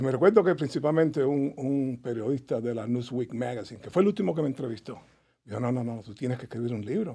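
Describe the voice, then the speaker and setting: Very fast and with big swings in loudness, a man talks in a dark, mellow tone with ordinary pitch variation. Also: medium pitch for a man. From Cuba, Havana. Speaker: author and Cuban emigrant. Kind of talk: casual interview chat.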